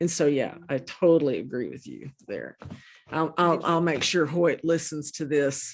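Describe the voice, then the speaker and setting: A woman with an American accent, a very deep, low pitch, vocal fry, fairly even intonation, and a fairly slow pace. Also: quiet background. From Oklahoma. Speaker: interview show host. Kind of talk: casual interview chat.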